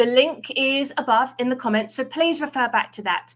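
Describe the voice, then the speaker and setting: A woman with an English accent speaks at a moderate pace with ordinary pitch variation. The recording is very clean, with a silent background. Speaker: recruiting team lead. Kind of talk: livestream presentation.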